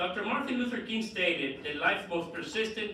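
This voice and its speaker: In a Dominican accent, a raised, projected voice carries lively intonation over noticeable background noise and audible room echo. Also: man. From Dominican Republic, Puerto Plata. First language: Spanish. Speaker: politician. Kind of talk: formal speech; prepared speech read aloud.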